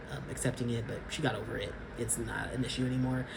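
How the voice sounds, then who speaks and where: Over noticeable background noise and audible room echo, a man with an American accent and a medium pitch talks at a fairly quick pace. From California, Sacramento. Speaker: vlogger. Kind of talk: casual vlog monologue.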